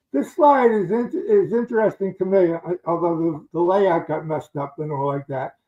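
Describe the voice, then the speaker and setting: At a moderate pace, a man with an American accent talks in a high pitch. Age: 70s. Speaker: veteran board game designer. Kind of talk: slide presentation. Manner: hesitant, filler-heavy.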